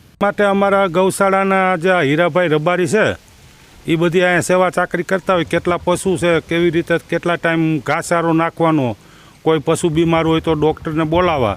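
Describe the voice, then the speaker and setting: Fairly even intonation and very even loudness in a dry, close sound with no echo. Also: man, high pitch for a man. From Gujarat, Gondal area (Saurashtra). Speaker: former village head and cow shelter founder. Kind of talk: interview.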